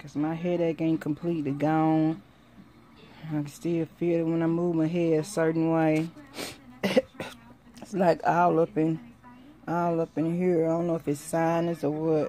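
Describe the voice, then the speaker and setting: A woman's fairly low, dark, mellow voice in a tired tone, monotone and flat, at a moderate pace with long, frequent pauses, over light background noise. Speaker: vlogger. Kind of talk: casual vlog chat. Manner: tired, ailing voice with headache. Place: home room. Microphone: phone near.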